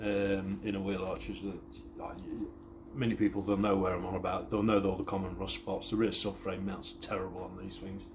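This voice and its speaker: Audible room echo surrounds a man whose fairly low voice shows ordinary pitch variation. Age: 30s. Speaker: car restoration vlogger. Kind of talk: casual vlog chat. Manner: rambling, halting.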